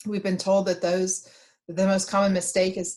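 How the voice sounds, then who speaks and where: Her voice sits at a medium pitch for a woman and sounds somewhat breathy. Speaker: state economic development official. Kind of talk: webinar presentation. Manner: slow; halting.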